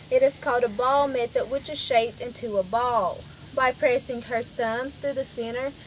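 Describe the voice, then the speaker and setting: A high-pitched woman's voice at a moderate pace, with fairly even intonation and light background noise. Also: dry sound with no echo. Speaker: village tour guide. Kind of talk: guided tour explanation. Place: forest.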